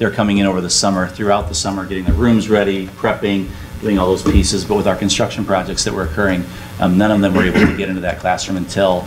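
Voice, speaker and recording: Against faint music in the background, a man rattles along at a very fast pace in a fairly low pitch with monotone, flat intonation. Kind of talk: meeting report. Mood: appreciative, warm. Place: hall. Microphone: camera far.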